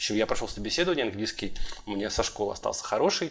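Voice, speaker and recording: The recording is very clean, with a silent background. The voice has vocal fry and swings very widely in pitch. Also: man. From Russia, St. Petersburg. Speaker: podcast host, structural engineer. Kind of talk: casual chat.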